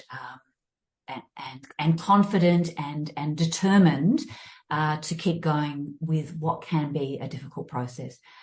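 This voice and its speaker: Somewhat breathy and very deep for a woman, this speaker talks fairly slowly with an Australian accent, ordinary pitch variation and big swings in loudness. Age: 60s. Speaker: fitness and mindfulness coach. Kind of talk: interview. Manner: halting, many fillers and restarts.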